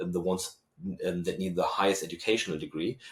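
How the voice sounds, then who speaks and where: The speaker has a German accent. The recording is very clean, with a silent background. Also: man. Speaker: university researcher and lecturer. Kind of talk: podcast interview. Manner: hesitant with fillers.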